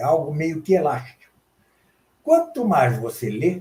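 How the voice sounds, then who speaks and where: This man speaks with a high-pitched voice. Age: 70s. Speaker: professor and translator. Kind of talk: interview.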